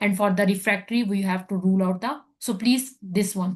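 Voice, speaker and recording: Against a quiet background, a woman speaks fairly quickly in a somewhat breathy voice at medium pitch with fairly even intonation. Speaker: medical exam tutor; physician. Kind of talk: lecture. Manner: fast.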